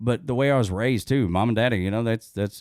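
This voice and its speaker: In a very clean recording with a silent background, a man with a strong Southern US accent talks at medium pitch with ordinary pitch variation. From US South, northwest Georgia (Dalton). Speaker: radio host. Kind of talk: casual chat. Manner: halting.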